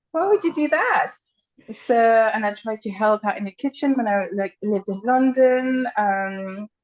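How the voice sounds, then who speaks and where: A woman with a French accent and a fairly high voice talks fairly slowly with lively intonation, in a dry, close sound with no echo. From France. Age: middle-aged. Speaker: nutritionist. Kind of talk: podcast interview. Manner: hesitant, many fillers.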